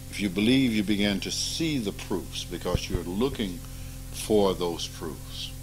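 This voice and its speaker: A man with a fairly low pitch speaks with ordinary pitch variation. The room echo is audible, and music plays behind him. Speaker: spiritual teacher. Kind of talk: informal spiritual talk with students. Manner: animated.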